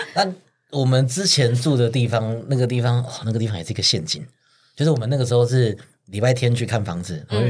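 A man at a medium pitch, somewhat breathy, with lively intonation at a very fast pace. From Taiwan, Pingtung. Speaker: podcast host. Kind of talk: casual chat. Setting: studio.

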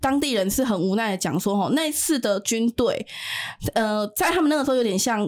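With a normal speaking voice, a woman speaks fairly quickly in a fairly high pitch, her intonation lively and her loudness very even. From Taiwan. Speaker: activist returning from Ukraine frontline visit. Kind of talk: interview about war observations.

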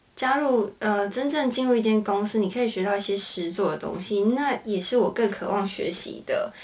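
There is noticeable background noise behind a woman speaking at a moderate pace. Her pitch is fairly high, with ordinary variation. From Taiwan, Hakka family. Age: 20s. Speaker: interior designer and university student. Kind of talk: casual chat.

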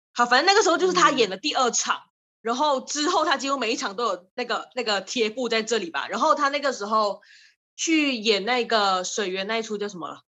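Speaking at a fairly quick pace, a woman uses a high pitch, lively intonation and a bright, sharp tone. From Malaysia. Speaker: drama student. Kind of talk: casual chat.

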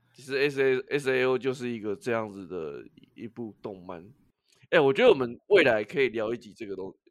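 The man's voice sits at a medium pitch, moving at a fairly quick pace. His intonation is lively, with big swings in loudness. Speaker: podcast co-host. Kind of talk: casual chat.

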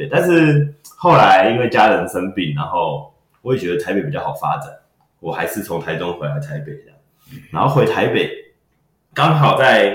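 Male voice with vocal fry, medium in pitch yet swinging very widely, at a moderate pace. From Taiwan, Taipei. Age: 30s. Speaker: magician and comedy performer. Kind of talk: casual interview chat. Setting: studio.

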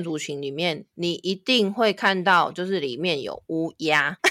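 With a Taiwanese accent, a woman speaks at a moderate pace in a bright, sharp tone, her fairly low pitch carried by lively intonation. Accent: Taiwanese Mandarin. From Taiwan, Taipei. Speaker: tour guide. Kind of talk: casual interview, storytelling.

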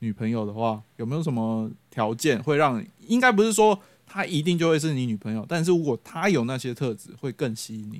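With a Taiwanese accent, a man talks at a fairly quick pace and medium pitch, barely pausing, his pitch swinging very widely and his loudness rising and falling sharply. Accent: Taiwanese Mandarin. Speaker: podcast host. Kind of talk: casual chat. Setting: friend's home. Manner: animated.

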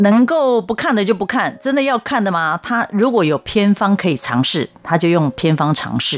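A woman in a Taiwanese accent, very wide pitch swings, and hardly any pauses. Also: medium pitch for a woman, moderate pace. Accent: Taiwanese Mandarin. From Taiwan, Taipei. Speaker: children's author. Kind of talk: interview.

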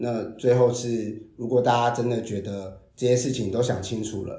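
This man's medium-pitched voice is somewhat breathy, with a dark, mellow tone and fairly even intonation. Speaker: storyteller and presentation trainer, HR worker. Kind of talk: interview.

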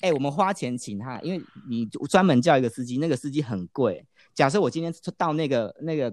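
A man with a Taiwanese accent speaks at a fairly quick pace in a fairly high voice, his intonation lively. The recording is very clean with a silent background and a dry, close sound free of echo. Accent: clear Taiwanese Mandarin. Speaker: business professional who worked in mainland China. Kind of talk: casual chat.

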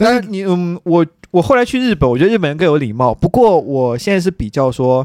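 The voice has very wide pitch swings at a fairly quick pace, with a dry, close sound and no echo. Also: man, high pitch for a man. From China, Qingdao. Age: 30s. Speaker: PhD student. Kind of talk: casual chat.

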